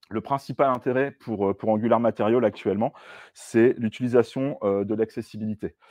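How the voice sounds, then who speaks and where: A man talks at a moderate pace with fairly even intonation. The sound is dry with no echo, and the background is quiet. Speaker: software developer; presenter. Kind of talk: tech talk with live demo. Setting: stage with audience. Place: meeting room.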